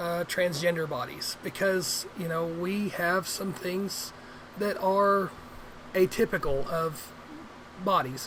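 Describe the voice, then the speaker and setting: A woman with an American accent speaks very slowly, at a fairly low pitch and with fairly even intonation. Long, frequent pauses break her speech over noticeable background noise. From Arkansas River Valley, US South. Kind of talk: casual vlog. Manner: halting, many fillers.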